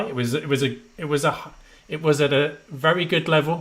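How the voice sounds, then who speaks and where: Fairly high male voice in a Midlands accent, bright and sharp in tone. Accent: Midlands twang. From English Midlands. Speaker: education trainer, former maths teacher. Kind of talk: webinar presentation. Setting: online webinar.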